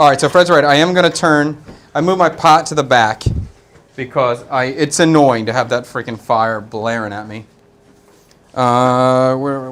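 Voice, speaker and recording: The speaker has a Philadelphia accent and a moderate pace. Pitch variation is ordinary, while loudness swings widely. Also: man, medium pitch for a man. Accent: East Coast (Philadelphia). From US East Coast, Philadelphia. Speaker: chef and live-stream cooking host. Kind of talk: live cooking stream, casual chat. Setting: studio kitchen.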